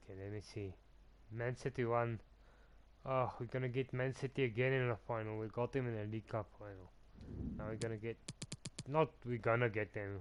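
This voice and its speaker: Medium-pitched male speech with fairly even intonation and long, frequent pauses. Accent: non-native. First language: not English. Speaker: gaming streamer. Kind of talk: live gameplay commentary. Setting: live stream. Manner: halting.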